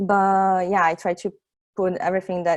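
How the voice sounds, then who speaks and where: Against a quiet background, a woman in a Brazilian accent speaks at medium pitch and a moderate pace. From Brazil, Santos. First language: Portuguese. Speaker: software testing engineer, meetup speaker. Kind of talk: tech talk presentation. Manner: halting, many fillers.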